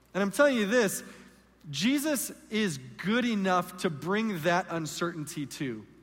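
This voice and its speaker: A man's high voice with very wide pitch swings at a fairly slow pace, amid audible room echo. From Southern California. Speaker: guest pastor. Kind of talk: sermon. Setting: church stage with congregation.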